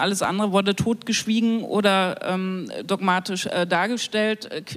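This woman has a normal speaking voice, medium in pitch with ordinary pitch variation. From Thuringia, eastern Germany. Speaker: broadcasting council member, queer activist. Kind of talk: panel discussion. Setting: live stage panel broadcast on radio.

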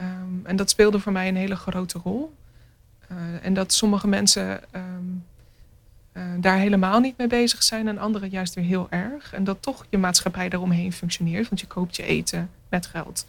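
Somewhat breathy, a woman's voice unfolds at a moderate pace. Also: medium pitch for a woman, fairly even intonation. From Netherlands, near Rotterdam (Maassluis). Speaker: visual artist. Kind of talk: radio interview.

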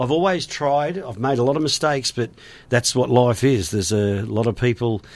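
A man speaks in an Australian accent at a moderate pace. His pitch is medium and his intonation lively. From western Sydney, Australia. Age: 50s. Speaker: former radio DJ and tourism business owner. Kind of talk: casual interview chat. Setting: studio.

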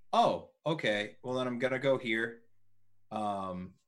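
Speaking at a fairly slow pace with ordinary pitch variation, this is a plain, everyday voice. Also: man. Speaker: player.

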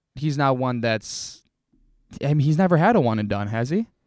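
An unremarkable speaking voice from a man, with lively intonation and a moderate pace, on a very clean recording with a silent background. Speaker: podcast host. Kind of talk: casual sports podcast chat.

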